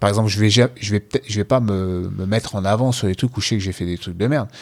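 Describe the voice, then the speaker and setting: A man with an ordinary speaking voice, fairly low in pitch and with ordinary pitch variation, is heard in a very clean recording with a silent background. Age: 40s. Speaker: jiu-jitsu coach and podcast co-host. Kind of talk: casual chat.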